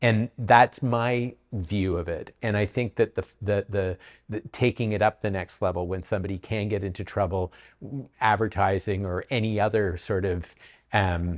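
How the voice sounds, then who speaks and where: A man with a Canadian accent and fairly even intonation. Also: fairly low pitch for a man, moderate pace. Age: 60s. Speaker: real estate agent. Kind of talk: panel discussion. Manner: halting, many repeats.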